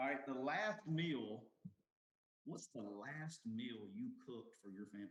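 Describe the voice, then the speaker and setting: With a Southern US accent, a man at a medium pitch talks at a fairly slow pace, his voice making very wide pitch swings. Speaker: podcast host. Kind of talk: casual chat.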